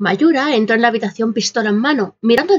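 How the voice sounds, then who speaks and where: In a dramatic tone, a woman speaks at a fairly quick pace and fairly high pitch with ordinary pitch variation. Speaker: storyteller reading own fiction. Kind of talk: scripted narration of a true-crime horror story, read aloud. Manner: dramatic, suspenseful storytelling, building tension with hushed and startled tones.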